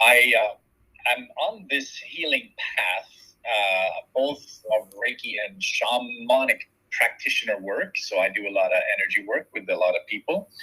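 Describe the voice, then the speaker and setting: The talking comes at a fairly slow pace. It is delivered with a Swedish accent. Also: man. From Sweden. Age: 40s. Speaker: shaman and Reiki practitioner. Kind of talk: interview.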